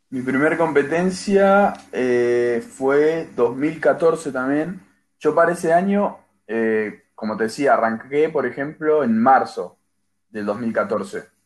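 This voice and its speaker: A man speaks at a very slow pace in a fairly high pitch. His intonation is lively. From Argentina. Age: 20s. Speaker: athlete. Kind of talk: interview.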